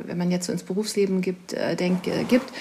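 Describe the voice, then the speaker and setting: This voice is somewhat breathy, with a dark, mellow tone. Its intonation stays fairly even. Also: woman. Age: 40s. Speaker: author. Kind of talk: interview.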